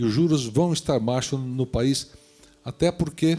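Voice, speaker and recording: A man does the talking, with ordinary pitch variation. There is music in the background. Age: 60s. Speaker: real estate developer. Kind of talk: panel discussion. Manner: halting.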